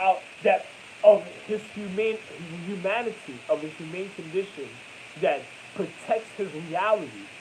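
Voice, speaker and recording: Amid noticeable background noise, a man with an American accent speaks at a high pitch with ordinary pitch variation, big swings in loudness, and long, frequent pauses. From New York. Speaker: vlogger. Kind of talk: monologue. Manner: halting.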